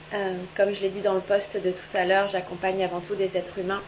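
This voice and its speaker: Soft-spoken and monotone with flat intonation, the voice comes with noticeable background noise. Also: woman. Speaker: sex and couples therapist. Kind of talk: live social media chat. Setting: home, Instagram live.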